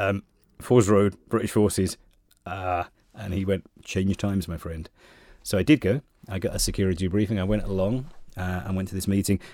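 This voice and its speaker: With a southeast English accent, a man speaks in a dark, mellow tone at fairly low pitch with ordinary variation. The recording is very clean, with a silent background. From Kent, southeast England. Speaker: radio station manager. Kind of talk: interview.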